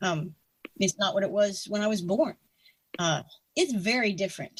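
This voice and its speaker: This woman talks at a moderate pace with ordinary pitch variation. Her voice is somewhat breathy. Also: medium pitch for a woman. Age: 60s. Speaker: retired air force officer and writer. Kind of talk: interview. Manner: halting, many fillers and restarts.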